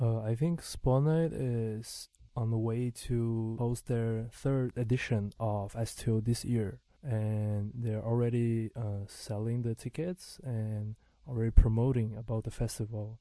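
Over a quiet background, a man at medium pitch speaks in a dark, mellow tone with fairly even intonation. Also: fairly slow pace. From Brazil. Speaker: DJ and music producer. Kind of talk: casual interview. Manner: halting, filler words.

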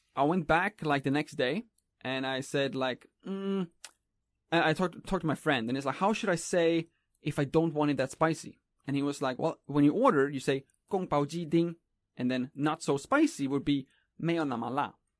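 A man with a Swedish accent speaks at a moderate pace in a fairly high pitch, with ordinary pitch variation, over a quiet background in a dry, close sound with no echo. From Sweden. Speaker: YouTuber. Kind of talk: casual chat.

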